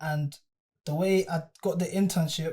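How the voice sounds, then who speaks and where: A man with a London accent speaks at a moderate pace and fairly high pitch, his dark, mellow tone flat and monotone. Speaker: artist manager. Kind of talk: casual chat.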